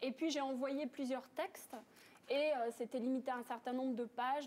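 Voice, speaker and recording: A woman's high-pitched voice in a monotone, flat intonation. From France. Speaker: author, painter and yoga teacher. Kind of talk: TV interview answer.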